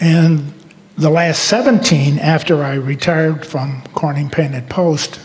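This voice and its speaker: In an American accent, someone speaks at a fairly slow pace with ordinary pitch variation, amid noticeable background noise and audible room echo. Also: man, fairly high pitch for a man. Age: 70s. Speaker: retired school superintendent. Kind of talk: rally speech. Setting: school auditorium rally with audience.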